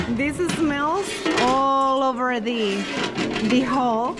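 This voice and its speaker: A woman is talking while loud background noise fills the clip. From Venezuela. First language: Spanish. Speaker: travel vlogger. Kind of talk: travel vlog narration. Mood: curious, cheerful. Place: market. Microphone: phone near.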